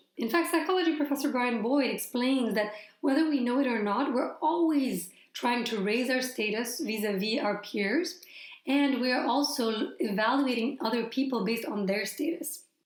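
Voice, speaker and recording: Audible room echo surrounds a woman with a high pitch and lively intonation. She keeps a moderate pace and very even loudness. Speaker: storytelling coach and YouTuber. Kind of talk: tutorial.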